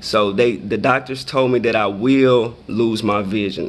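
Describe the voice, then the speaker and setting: At a fairly slow pace, a man with an American accent and an unremarkable speaking voice keeps his intonation fairly even. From Michigan and Texas, US. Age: 30s. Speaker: blindness advocate. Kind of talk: Q&A for schoolchildren.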